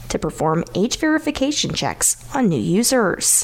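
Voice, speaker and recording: Over noticeable background noise, a woman speaks at a moderate pace in a fairly high pitch, her voice swinging very widely in pitch. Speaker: radio news host. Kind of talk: local radio news reading and interview.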